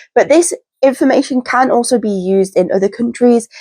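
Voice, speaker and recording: A woman talks at a moderate pace in a British accent. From UK. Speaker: pet rat keeper and YouTuber. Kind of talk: informational talk to camera. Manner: casual, repetitive emphasis.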